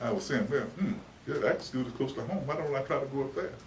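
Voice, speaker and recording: A man with a Texan accent and a medium pitch talks at a fairly quick pace over noticeable background noise. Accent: Texas Southern American English. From Dallas, Texas. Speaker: civil rights figure, educator. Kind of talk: oral history interview answer. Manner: hesitant, reflective.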